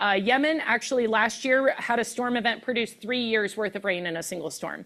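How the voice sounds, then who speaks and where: Talking at a very fast pace, a woman has a bright, sharp tone and ordinary pitch variation. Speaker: meteorologist, keynote speaker. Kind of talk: presentation.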